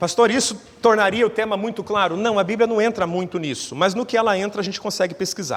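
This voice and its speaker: Talking very fast with hardly any pauses, a man uses a high pitch and ordinary pitch variation. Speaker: pastor. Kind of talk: sermon.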